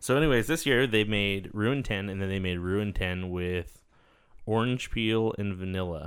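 The pace here is moderate. It is an ordinary speaking voice, and its pitch variation is ordinary. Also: man, fairly low pitch for a man. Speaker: podcast co-host. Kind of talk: casual banter, swearing. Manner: rambling, frequent interruptions.

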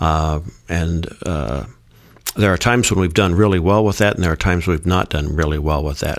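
With ordinary pitch variation and a very deep, low pitch, the man keeps to a moderate pace. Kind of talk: casual discussion.

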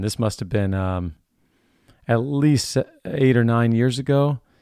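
An ordinary speaking voice from a man, moderate pace and ordinary pitch variation. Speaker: podcast host. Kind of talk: casual interview. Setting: video call.

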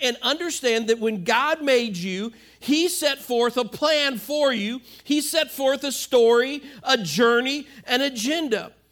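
At a fairly slow pace and with ordinary pitch variation, the speech sits on a very clean recording with a silent background. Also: man, extremely high pitch for a man. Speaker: pastor. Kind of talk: sermon. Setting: church with live audience. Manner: halting with frequent repetitions and fillers.

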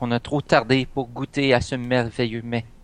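In a plain, everyday voice, a man speaks at a fairly slow pace and medium pitch with fairly even intonation, the sound dry and close with no echo. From Canada, moved between provinces (military family). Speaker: role-playing game player. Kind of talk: casual role-play chat.

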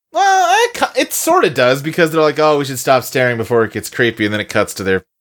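An ordinary speaking voice, fairly quick in pace, with lively intonation. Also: man. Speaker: podcast co-host. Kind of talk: casual banter, movie review podcast. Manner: relaxed, joking.

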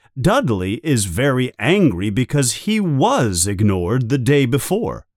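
Plain reading aloud, nothing more

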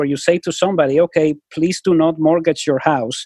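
Recorded dry and close with no echo against a quiet background, a man with a non-native accent speaks at a high pitch. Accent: noticeable foreign. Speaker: public opinion researcher. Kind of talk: podcast interview.

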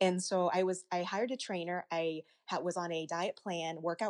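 This is a plain, everyday voice with an American accent at a moderate pace. The sound is dry and close, with no echo. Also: woman. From US South, Arkansas. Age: 30s. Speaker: pageant titleholder. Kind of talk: casual interview.

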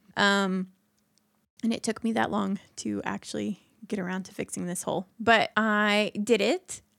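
An ordinary speaking voice from a woman, medium in pitch, at a moderate pace with fairly even intonation and big swings in loudness, in a very clean recording with a silent background and a dry, close sound with no echo. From Indiana. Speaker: podcast co-host. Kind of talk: casual chat.

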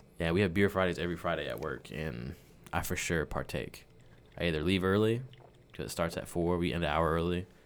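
A man speaks fairly quickly in a very deep, low voice with vocal fry and ordinary pitch variation. The recording is very clean, with a silent background. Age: 20s. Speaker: personal assistant to a CEO. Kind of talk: casual chat.

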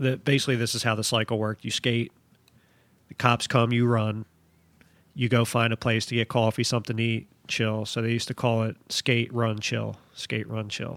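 A man's medium-pitched voice with an American accent, flat monotone intonation and a moderate pace, in a very clean, dry, close recording with no echo and a silent background. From Philadelphia. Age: 40s. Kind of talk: casual interview chat.

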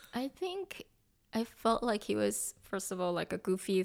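A woman speaks at a medium pitch with a Korean accent. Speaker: pastor's wife, church member.

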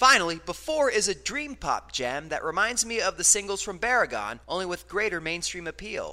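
A bright, sharp, raised and projected voice runs at a fairly quick pace with hardly any pauses. The intonation is lively, and the recording is very clean with a silent background. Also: man, high pitch for a man. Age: 30s. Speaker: radio host and music reviewer. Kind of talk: radio show with scripted album reviews.

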